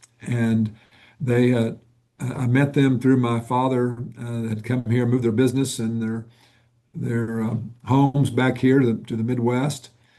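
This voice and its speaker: A man with a Southern US accent talks at a fairly slow pace with long, frequent pauses, medium pitch, a dark, mellow tone and monotone, flat intonation. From US South, Northwest Arkansas. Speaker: nonprofit executive. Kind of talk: interview.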